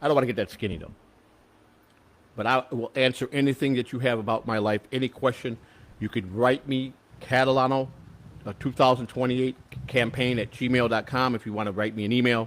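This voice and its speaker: In an American accent, a man with a normal speaking voice talks at a fairly quick pace. His pitch is medium and his intonation fairly even. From Chicago. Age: 60s. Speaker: political candidate. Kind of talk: casual chat.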